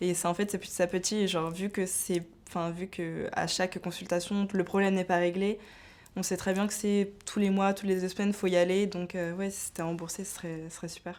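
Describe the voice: At a fairly quick pace, a woman speaks in a fairly low pitch with a slightly mellow tone and little pitch movement.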